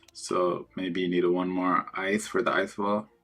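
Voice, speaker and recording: A soft-spoken man talks at a fairly slow pace. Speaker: video game streamer. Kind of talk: live gameplay commentary. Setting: at home. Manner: casual, rambling with filler words.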